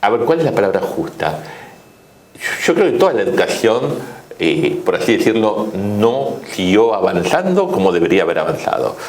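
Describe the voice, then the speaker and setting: Moderate-paced male speech amid noticeable background noise and audible room echo. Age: 60s. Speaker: economist. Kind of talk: interview. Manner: hesitant, with fillers.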